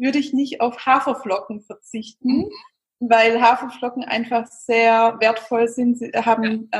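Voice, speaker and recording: Her intonation fairly even, a woman speaks with a fairly high pitch. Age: 30s. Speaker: vegan nutrition and recipe expert. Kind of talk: interview. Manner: hesitant, many fillers.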